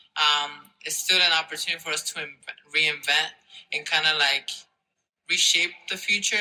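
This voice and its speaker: This man has a fairly high pitch and speaks with a Spanish accent. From Mexico, then New Jersey from age eight. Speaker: university student. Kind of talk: interview. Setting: conference. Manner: hesitant, many fillers.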